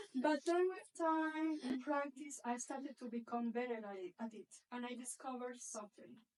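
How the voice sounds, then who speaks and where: A woman's high voice at a moderate pace, with ordinary pitch variation. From Caribbean coast of Colombia. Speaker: entrepreneur and speaker. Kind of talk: public talk. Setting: stage with audience. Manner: soft-spoken.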